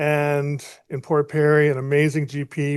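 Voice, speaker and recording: A man speaks with a fairly high pitch. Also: quiet background. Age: 60s. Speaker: patient panelist. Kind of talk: personal testimony.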